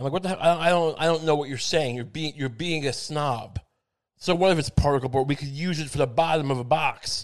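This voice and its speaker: Mumbling at a very fast pace, a man with a fairly high pitch and fairly even intonation speaks against a quiet background. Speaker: podcast host. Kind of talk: solo comedic monologue. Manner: mumbling, full of asides; halting, many fillers.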